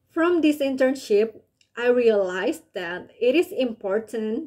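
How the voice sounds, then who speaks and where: Speaking at a fairly slow pace, a woman with an Indonesian accent has a dark, mellow tone. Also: quiet background. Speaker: college student intern. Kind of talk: scripted reflection on an internship. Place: home room. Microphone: webcam.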